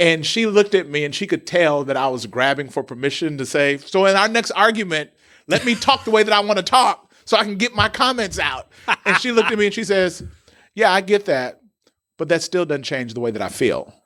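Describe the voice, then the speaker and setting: On a very clean recording with a silent background, a man uses a raised, projected voice with a bright, sharp tone, high pitch, very wide pitch swings and a fairly quick pace. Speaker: pastor and podcast host. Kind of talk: casual interview chat. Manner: persuasive, declarative, loud.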